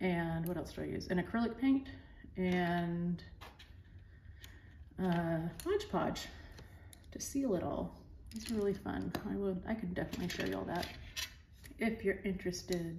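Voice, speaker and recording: A quiet woman with an American accent, fairly low pitch and ordinary pitch variation, at a moderate pace with long, frequent pauses, in audible room echo. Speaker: art teacher. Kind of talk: tutorial. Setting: pre-recorded at home.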